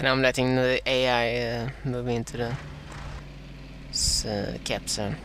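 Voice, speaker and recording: A man at medium pitch, monotone and flat, at a fairly slow pace with long, frequent pauses, over noticeable background noise. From Sweden. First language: Swedish. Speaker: gaming commentator. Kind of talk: live gameplay commentary. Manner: halting, many fillers.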